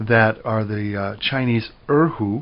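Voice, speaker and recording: This man speaks very slowly with an American accent. His intonation is fairly even. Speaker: music professor. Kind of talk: lecture.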